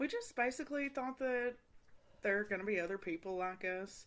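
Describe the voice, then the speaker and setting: A woman's voice in a Kentucky accent, with very wide pitch swings. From Eastern Kentucky. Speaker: podcast host. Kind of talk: casual chat. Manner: rambling.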